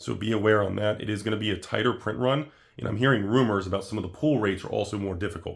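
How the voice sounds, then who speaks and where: Talking at a very fast pace, a man uses a fairly low pitch with ordinary variation. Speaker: trading card investment youtuber. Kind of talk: casual video commentary. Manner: hesitant with fillers.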